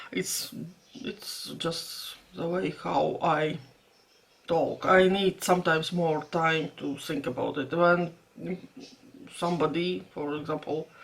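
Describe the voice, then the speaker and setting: Speaking with a Latvian accent, a woman has a fairly low pitch. She talks at a very slow pace with long, frequent pauses. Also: ordinary pitch variation. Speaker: vlogger. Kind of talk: casual vlog talk. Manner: halting.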